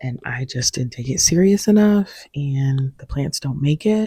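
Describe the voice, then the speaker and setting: A very slow, soft-spoken delivery with lively intonation, somewhat breathy, a dark, mellow tone and a dry, close sound with no echo. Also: woman. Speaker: plant YouTuber. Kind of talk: casual vlog tutorial. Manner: soft-spoken, quiet.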